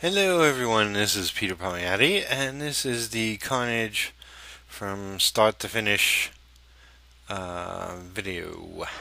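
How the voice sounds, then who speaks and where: Very slow, lively speech from a man at medium pitch with a bright, sharp tone. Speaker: comic book artist. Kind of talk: narrated drawing tutorial. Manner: hesitant, many fillers.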